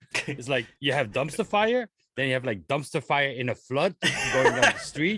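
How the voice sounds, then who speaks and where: A man with a bright, sharp tone and fairly high pitch speaks at a moderate pace with lively intonation, the sound dry and close with no echo. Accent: non-native. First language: not English. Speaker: podcast co-host. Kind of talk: casual chat.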